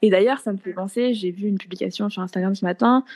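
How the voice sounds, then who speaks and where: A dark, mellow tone at a moderate pace. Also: woman. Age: 20s. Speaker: dietitian. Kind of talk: casual interview.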